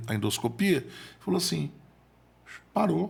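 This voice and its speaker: There is vocal fry in this man's medium-pitched voice as he talks at a moderate pace. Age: 40s. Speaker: motivational speaker and accountant. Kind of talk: podcast interview storytelling. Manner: halting, repeats words.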